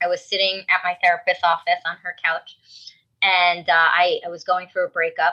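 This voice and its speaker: A woman with a South Jersey accent, bright, sharp tone and moderate pace. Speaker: dating coach. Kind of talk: podcast interview. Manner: direct.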